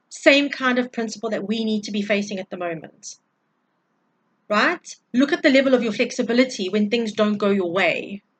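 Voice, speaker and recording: A woman talks at a moderate pace in an animated tone, with ordinary pitch variation. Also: fairly high pitch for a woman. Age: 40s. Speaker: tarot reader and energy healer. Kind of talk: spiritual energy update monologue. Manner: loud.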